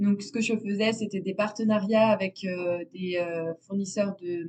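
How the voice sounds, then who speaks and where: A woman speaks at a fairly slow pace with fairly even intonation and a medium pitch. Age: 20s. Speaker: natural dyer. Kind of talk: interview. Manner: hesitant, many fillers.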